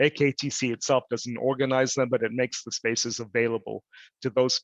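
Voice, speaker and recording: Flat and monotone, a man talks at a fairly quick pace. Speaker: lecturer on parks and heritage. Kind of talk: casual chat; lecture Q&A. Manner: halting, repeats words.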